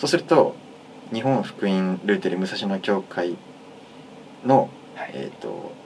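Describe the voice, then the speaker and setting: Amid noticeable background noise, a man with a fairly low pitch and lively intonation speaks at a fairly slow pace, with long, frequent pauses. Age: 20s. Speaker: pianist and university student. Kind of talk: casual chat. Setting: recording studio.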